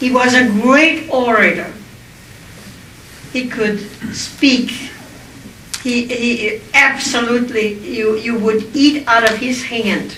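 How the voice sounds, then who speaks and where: A woman with a German accent speaks very slowly, with long, frequent pauses, at a high pitch and with fairly even intonation. The room echoes audibly, and background noise is noticeable. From Austria. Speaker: Holocaust survivor speaker. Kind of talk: public speech.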